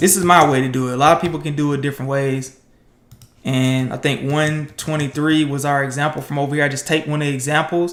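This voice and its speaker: A man speaks very fast in a fairly high pitch, his intonation flat and monotone. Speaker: programmer streaming coding challenges. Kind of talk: live coding tutorial. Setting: livestream. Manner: casual, with fillers.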